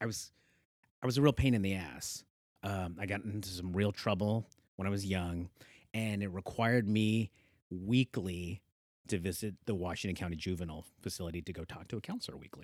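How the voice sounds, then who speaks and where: Speaking at a fairly quick pace with a Pacific Northwest accent, a man uses a fairly low pitch, captured in a very clean recording with a silent background and a dry, close sound with no echo. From Oregon, Hillsboro area (born in the Philippines). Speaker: cycling advocacy nonprofit co-founder. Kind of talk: casual interview. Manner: animated.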